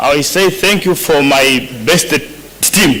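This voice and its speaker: A man with a non-native accent at a very slow pace, with audible room echo and noticeable background noise. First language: not English. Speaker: boxing coach. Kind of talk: acceptance speech. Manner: halting.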